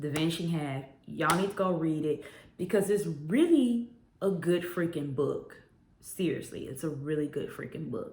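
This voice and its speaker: With audible room echo, a woman's very deep, low, somewhat breathy voice carries an animated tone at a moderate pace with ordinary pitch variation. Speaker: book reviewer. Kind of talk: casual book review vlog.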